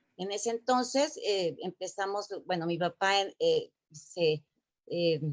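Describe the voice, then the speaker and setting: A woman with a Mexico City accent at a very slow pace, medium pitch, and lively intonation. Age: 60s. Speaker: former Olympic gymnast. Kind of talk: interview. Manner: halting, many fillers.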